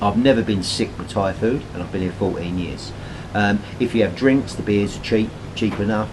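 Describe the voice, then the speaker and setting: A man in a British accent talks in a relaxed tone and fairly low pitch with ordinary pitch variation, over noticeable background noise. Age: 60s. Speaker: retiree vlogger. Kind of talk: casual vlog talk to camera. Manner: relaxed, hesitant with many fillers.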